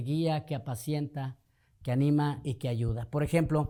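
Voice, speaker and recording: A man with a slight northern Mexican accent speaks at a moderate pace in a fairly high voice with a dark, mellow tone. His intonation is fairly even in a very clean recording with a silent background. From northern Mexico (Torreón, Coahuila). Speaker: pastor. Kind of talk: podcast interview.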